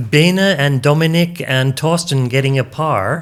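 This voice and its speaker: Over a very clean, silent background, a man with a normal speaking voice and fairly high pitch talks fairly slowly with ordinary pitch variation. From Canada. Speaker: disc golf commentator. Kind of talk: live commentary.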